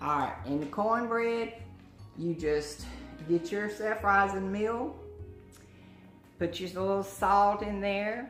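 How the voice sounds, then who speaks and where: A woman with an American accent speaks at a very slow pace, with long, frequent pauses, medium pitch and ordinary pitch variation. Music plays in the background. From Southern US. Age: old. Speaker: grandmother. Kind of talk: cooking instruction.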